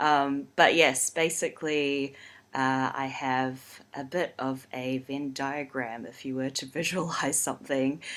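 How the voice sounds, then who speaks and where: A woman speaks at a very slow pace in a New Zealand accent, her pitch very deep and low and her tone bright and sharp. The recording is very clean, with a silent background. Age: 30s. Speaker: urban designer and community developer. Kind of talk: podcast interview.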